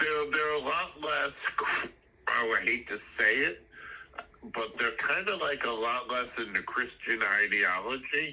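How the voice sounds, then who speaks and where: Amid noticeable background noise, a man with a New York accent talks at a fairly slow pace with long, frequent pauses. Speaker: podcast guest, high school friend. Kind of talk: casual interview.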